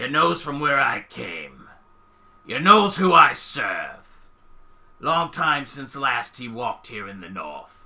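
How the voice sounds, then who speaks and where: Raspy and very slow, a man speaks in a put-on character voice. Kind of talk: archaic, rustic.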